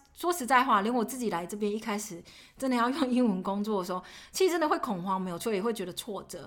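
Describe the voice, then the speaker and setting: A woman's fairly high pitch rises and falls in very wide swings. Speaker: podcast co-host, finance professional. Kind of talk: casual chat.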